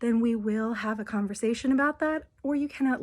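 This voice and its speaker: A woman speaks at a fairly quick pace in a somewhat breathy voice with ordinary pitch variation. The recording is very clean with a silent background. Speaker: abuse recovery helper. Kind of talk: casual talk to camera.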